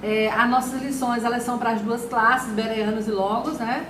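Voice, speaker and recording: Against noticeable background noise and audible room echo, a woman speaks at a moderate pace with a fairly high pitch. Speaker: Sunday school teacher. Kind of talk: Bible study lesson. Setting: live stream.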